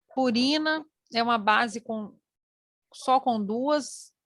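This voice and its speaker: A woman speaks with a high pitch and a bright, sharp tone. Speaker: teacher. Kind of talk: online lecture.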